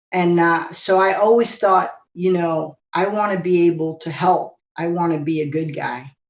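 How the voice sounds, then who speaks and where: In an unremarkable speaking voice, a woman talks at a moderate pace with a fairly low pitch, fairly even intonation and hardly any pauses. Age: 60s. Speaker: former police officer and activist. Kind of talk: interview.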